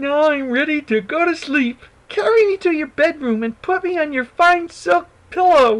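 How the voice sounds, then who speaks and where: A man's put-on character voice, squeaky and pitched extremely high. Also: moderate pace. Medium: read story. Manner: insistent.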